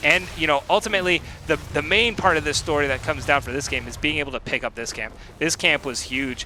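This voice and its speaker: Talking at a very fast pace, a man with a fairly high pitch is heard over noticeable background noise. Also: ordinary pitch variation. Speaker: esports caster. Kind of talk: live commentary. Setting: live stream. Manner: animated.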